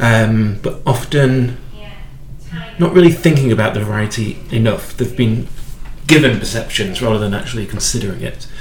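A man speaks at a medium pitch and a moderate pace, with ordinary pitch variation. Noticeable background noise can be heard. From UK. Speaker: podcast host and wine educator. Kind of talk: interview.

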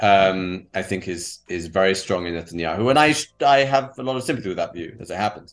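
A man with a British accent talks at a fairly quick pace, with fairly low pitch and lively intonation. His loudness swings widely over a quiet background. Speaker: protest organizer. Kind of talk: interview conversation.

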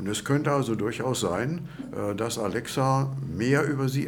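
A man at a fairly slow pace, ordinary pitch variation, audible room echo around him. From Lower Saxony, Germany. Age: 70s. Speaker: retiree, course participant. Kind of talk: interview. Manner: halting, many fillers.

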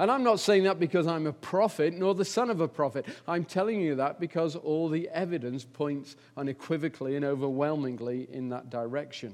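Against a quiet background, a man with an English accent talks at a fairly quick pace in a fairly high pitch with lively intonation. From England. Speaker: visiting preacher. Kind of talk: sermon. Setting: church. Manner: hesitant, many fillers.

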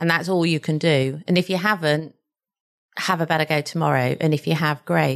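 A woman speaks very deep and low, with vocal fry, at a moderate pace. Her intonation is fairly even, her loudness very even, and the background quiet. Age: 50s. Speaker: company chairman. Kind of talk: interview conversation.

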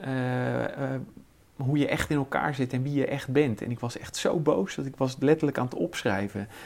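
A man with a fairly high pitch talks at a moderate pace, using ordinary pitch variation. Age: 50s. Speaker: chemist and business owner. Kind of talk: interview. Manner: halting.

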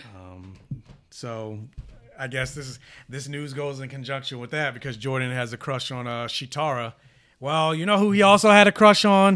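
With lively intonation and a bright, sharp tone, a man talks at a moderate pace and a fairly high pitch. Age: 30s. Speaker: podcast co-host. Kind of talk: casual chat.

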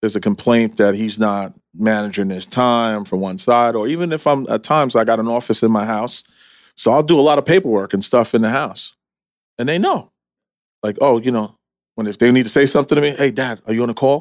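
In a normal speaking voice with an American accent, a man talks at a fairly quick pace at medium pitch with ordinary pitch variation, on a very clean recording with a silent background. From New York City. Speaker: construction and millwork business owner. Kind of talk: casual interview.

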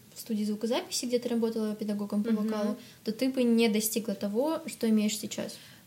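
A woman talks fairly quickly in a normal speaking voice, fairly high in pitch, with fairly even intonation. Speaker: podcast host. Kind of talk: casual interview chat.

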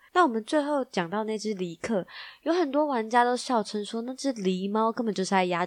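Her pitch fairly high and varying in an ordinary way, a woman speaks fairly quickly in a playful, animated tone, recorded dry and close with no echo. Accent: Taiwanese. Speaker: tech news podcast host. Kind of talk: news roundup, casual.

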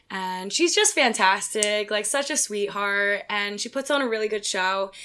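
A woman speaks with an American accent in a bright, sharp tone at medium pitch. Her pace is moderate, and her pitch varies in an ordinary way. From Pennsylvania (Philadelphia suburbs). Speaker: pole dancer. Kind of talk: casual chat.

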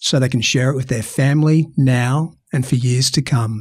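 In a very clean recording with a silent background, a man with an Australian accent talks at a moderate pace in a somewhat breathy voice. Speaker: podcast host.

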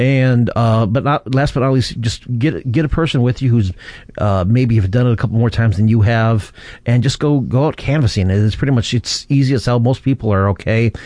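Speaking at a fairly quick pace, a man keeps a dark, mellow tone at a very even loudness. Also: medium pitch for a man, ordinary pitch variation. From US Midwest, southeastern Michigan. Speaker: podcast host. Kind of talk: casual chat. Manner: rambling, filler-heavy.

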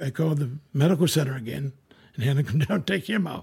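Somewhat breathy, a man speaks in a fairly high voice with ordinary pitch variation. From coastal Maine. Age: 60s. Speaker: retired Coast Guard member. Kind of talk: storytelling interview. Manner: halting, repetitive.

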